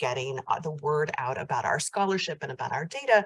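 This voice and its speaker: Her intonation is lively as this woman talks with an American accent. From United States. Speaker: professor. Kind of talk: conference keynote. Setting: hybrid conference. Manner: hesitant fillers.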